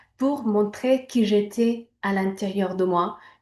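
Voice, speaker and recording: A woman with a Spanish accent, medium in pitch, with fairly even intonation at a very slow pace, over a quiet background. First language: Spanish (speaking French). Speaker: image coach. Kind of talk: personal testimony. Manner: hesitant, many fillers.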